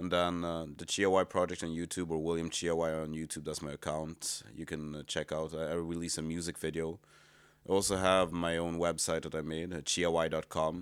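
A man's very deep, low voice in monotone, flat intonation at a fairly quick pace, on a very clean recording with a silent background. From Sweden. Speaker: musician. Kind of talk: casual chat. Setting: apartment. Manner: halting.

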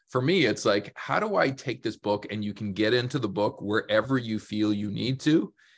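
A man with a Canadian accent has an unremarkable speaking voice, fairly low in pitch, with ordinary pitch variation. He speaks at a moderate pace in a very clean recording with a silent background. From Canada. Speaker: business consultant and author. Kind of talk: interview conversation.

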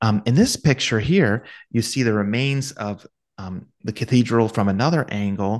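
The voice carries an American accent with ordinary pitch variation at a moderate pace. The background is quiet. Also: man, medium pitch for a man. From US, Ohio. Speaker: podcast co-host, academic with a PhD. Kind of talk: casual chat with photo presentation. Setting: video call with shared screen.

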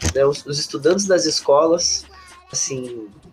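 A man talks at an unhurried, moderate speed. Background noise is clearly audible behind him. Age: 20s. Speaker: student union president. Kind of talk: casual interview.

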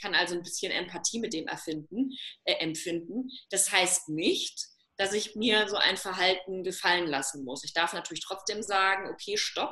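Bright and sharp in tone, a woman speaks at a medium pitch and moderate pace, with ordinary pitch variation and big swings in loudness. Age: 30s. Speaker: self-love coach. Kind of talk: casual interview.

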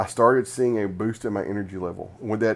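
On a very clean recording with a silent background, a man with a normal speaking voice talks at a fairly quick pace, with a fairly low pitch and ordinary pitch variation. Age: 40s. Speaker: podcast host and author. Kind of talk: reading aloud from own book.

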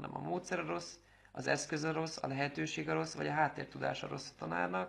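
Vocal fry runs through this man's medium-pitched voice. His pitch swings very widely. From Szeged, southern Hungary. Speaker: sports fan community organizer. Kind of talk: casual interview.

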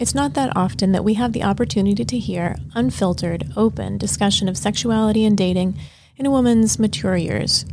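A woman's voice of medium pitch, dark and mellow in tone, with vocal fry and a fairly quick pace. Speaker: podcast host and pelvic health physical therapist. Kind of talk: interview.

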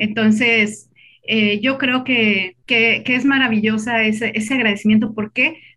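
A woman speaks at a fairly slow pace in a monotone, flat voice. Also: fairly high pitch for a woman. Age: 40s. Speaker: lawyer and writer. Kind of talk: casual chat.

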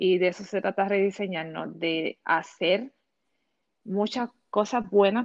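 This woman has a medium-pitched voice and a Puerto Rican accent. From Puerto Rico. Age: 40s. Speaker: educator and fashion content creator. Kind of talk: interview.

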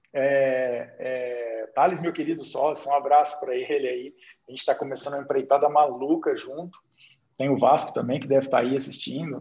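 A man's fairly high voice with a rural Minas Gerais accent and monotone, flat intonation. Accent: Minas Gerais interior accent, noticeable. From Brazil, interior of Minas Gerais. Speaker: investor and day trader. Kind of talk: casual chat.

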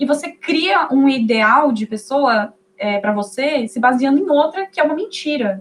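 A high-pitched woman talks at a moderate pace. Her intonation is lively. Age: 20s. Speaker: psychology student. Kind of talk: casual chat.

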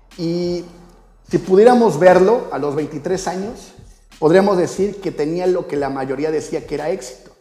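High-pitched male voice with music in the background. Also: ordinary pitch variation, fairly slow pace. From Mexico, Xalapa, Veracruz. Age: 30s. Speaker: life coach, podcast host. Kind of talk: motivational monologue.

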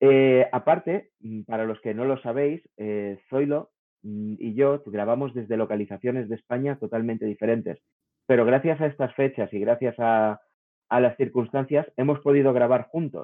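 At a moderate pace, a man talks in an ordinary speaking voice, medium in pitch with ordinary pitch variation. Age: 40s. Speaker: podcast host, game developer. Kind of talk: casual chat.

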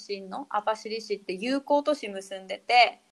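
In an ordinary speaking voice, the speaker goes at a fairly slow pace with lively intonation. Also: woman. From Hokkaido, Japan. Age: 30s. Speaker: fitness instructor. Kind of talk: casual interview.

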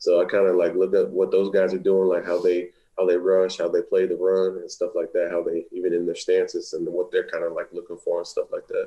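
Rather quick delivery leaves almost no room for pauses. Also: man. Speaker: college football player, draft prospect. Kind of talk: interview.

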